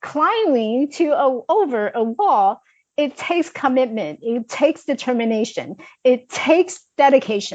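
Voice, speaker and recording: A woman's energetic, high voice in a Chinese accent, with lively intonation at a fairly slow pace. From China. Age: 40s. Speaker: life coach. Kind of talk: interview.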